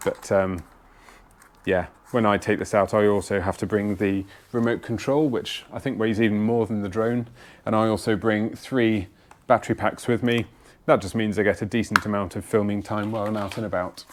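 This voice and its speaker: A man's fairly low voice with fairly even intonation, on a very clean recording against a silent background. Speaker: outdoors vlogger. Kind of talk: gear tutorial. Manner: fast.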